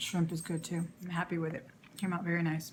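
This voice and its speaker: A woman's put-on character voice, raspy and fairly low, with monotone, flat intonation at a fairly quick pace. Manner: pleased, casual.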